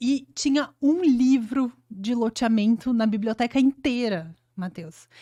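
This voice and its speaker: Speaking at a very slow pace with hardly any pauses, a woman with a southern Brazilian accent has a high pitch, ordinary pitch variation and a dark, mellow tone, in a very clean recording with a silent background. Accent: gaúcho accent, noticeable. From Rio Grande do Sul, Brazil (Flores da Cunha, Serra Gaúcha). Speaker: urban planning engineer. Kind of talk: podcast interview.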